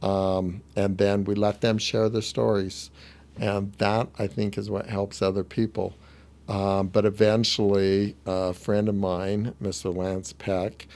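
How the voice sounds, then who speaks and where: Speaking at a very slow pace, a man keeps a fairly low pitch and fairly even intonation. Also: very clean recording, silent background. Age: 60s. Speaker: upholstery business owner. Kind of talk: podcast interview. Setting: studio.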